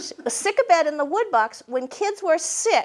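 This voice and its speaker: A woman talks at a fairly slow pace. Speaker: storyteller and author. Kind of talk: storytelling presentation to a live audience.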